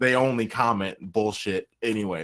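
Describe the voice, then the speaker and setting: An animated man's voice with an American accent and ordinary pitch variation. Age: 30s. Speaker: podcast host. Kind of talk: casual chat.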